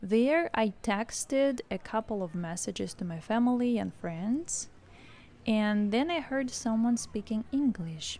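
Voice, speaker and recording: A woman with a Russian accent speaks at a fairly slow pace with lively intonation. Her fairly high voice has a dark, mellow tone and is somewhat breathy. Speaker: English teacher. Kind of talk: scripted narration.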